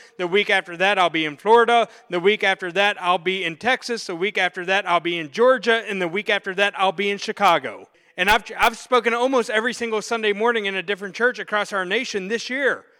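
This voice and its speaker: A man projects a raised voice with a high pitch and a bright, sharp tone. He speaks at a very fast pace with ordinary pitch variation, in a dry, close sound with no echo. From Pittsburgh, US. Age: 40s. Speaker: pastor. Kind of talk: sermon. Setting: church. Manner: animated.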